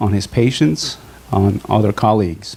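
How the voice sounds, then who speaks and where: A man with a Bolivian accent at a fairly slow pace, with ordinary pitch variation. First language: Spanish. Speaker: physician. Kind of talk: testimony. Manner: halting.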